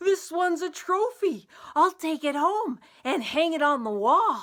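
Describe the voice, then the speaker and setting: A put-on character voice with extremely high pitch and a fairly slow pace. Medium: read story.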